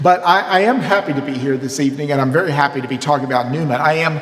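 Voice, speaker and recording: With an American accent and a fairly high pitch, a man talks amid noticeable background noise and audible room echo. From US South, Mississippi. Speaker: priest and seminary professor. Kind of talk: lecture. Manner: animated.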